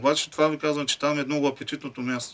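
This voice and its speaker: Here is a man with a plain, everyday voice. His pitch sits fairly high, and his intonation stays fairly even. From Bulgaria. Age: 40s. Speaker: football fan; guest. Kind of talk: casual chat. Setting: studio. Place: studio. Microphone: studio mic.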